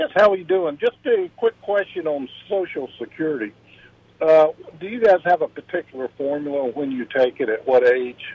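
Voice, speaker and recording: A man with an American accent speaks at fairly high pitch. His intonation is lively and his pace moderate. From US, Virginia. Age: 60s. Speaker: caller, retiree and business owner. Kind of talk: radio call-in question. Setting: phone call. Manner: halting.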